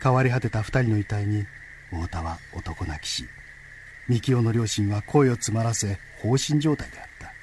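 A normal speaking voice from a man, medium in pitch with ordinary pitch variation, at a moderate pace and with big swings in loudness. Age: 50s. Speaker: radio news desk announcer. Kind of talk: reading aloud. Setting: studio.

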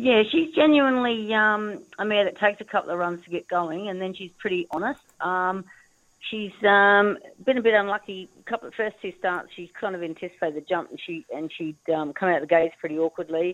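A woman with an Australian accent talks fairly quickly at a medium pitch, with lively intonation and big swings in loudness. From Northern Territory, Australia. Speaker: racehorse trainer and former jockey. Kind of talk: casual interview.

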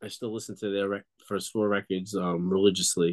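A man with a New York accent talks at a moderate pace in a fairly low, monotone, flat voice. The sound is dry and close with no echo. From Long Island, New York. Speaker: punk band bassist. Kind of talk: casual interview. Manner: halting.

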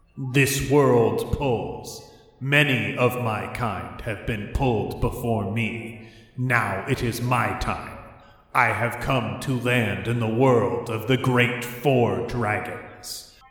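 Very slowly and with clear echo, a man puts on a booming character voice at a medium pitch. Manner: spooky, ominous.

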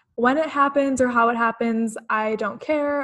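An ordinary speaking voice moves at a fairly quick pace. Intonation is fairly even. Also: woman. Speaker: podcast host. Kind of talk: podcast intro and interview.

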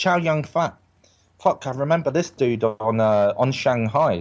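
The speaker has an English accent and ordinary pitch variation. The background is quiet. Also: man. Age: 30s. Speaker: actor. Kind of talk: casual chat.

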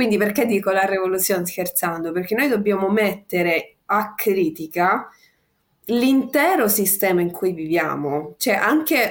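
A woman talks at a moderate pace with lively intonation and a medium pitch. It is a plain, everyday voice. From Sicily. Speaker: activist. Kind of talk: casual chat.

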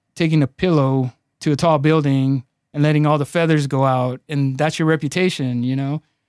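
A man with a Spanish accent talks at a moderate pace and with fairly even intonation. The sound is dry and close with no echo, on a very clean recording with a silent background. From Los Angeles, Mexican immigrant family. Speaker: personal injury attorney. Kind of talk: casual interview. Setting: studio.

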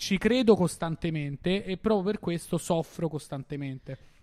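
A man's high voice with a dark, mellow tone, at a fairly slow pace in a very clean recording with a silent background. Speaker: comedian, guest calling in. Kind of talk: joking banter.

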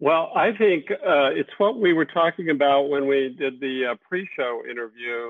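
A man with an American accent has a normal speaking voice and fairly high pitch. He keeps a moderate pace with lively intonation and hardly any pauses. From Texas. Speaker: TV director and producer. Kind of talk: casual video interview. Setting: video call.

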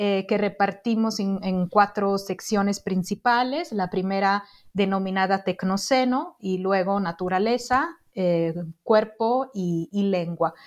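The speaker, a woman, talks very slowly. Her voice has a medium pitch. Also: ordinary pitch variation. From Italy. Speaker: social anthropologist, book editor. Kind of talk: interview about her book.

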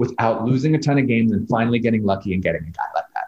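A man talks at a very fast pace with lively intonation. Vocal fry comes through in his voice. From New York. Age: 40s. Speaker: restaurant guide co-founder. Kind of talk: casual chat. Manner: animated.

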